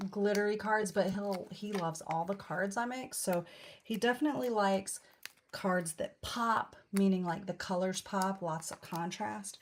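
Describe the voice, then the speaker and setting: A quiet, mumbling woman at a medium pitch. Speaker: card-making demonstrator. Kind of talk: craft tutorial livestream. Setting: live video stream.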